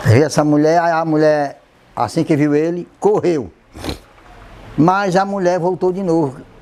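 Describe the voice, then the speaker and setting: With a dark, mellow tone and a fairly high pitch, a man speaks fairly slowly with long, frequent pauses and ordinary pitch variation. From Ceará coast, Brazil (Trairi). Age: 70s. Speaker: traditional culture master, storyteller. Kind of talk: oral history storytelling interview.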